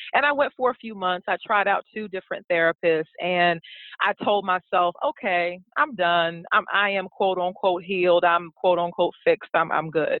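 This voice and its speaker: A woman with an American accent and a normal speaking voice talks at a moderate pace with hardly any pauses, her medium pitch showing ordinary variation. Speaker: blogger and educator. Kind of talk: interview.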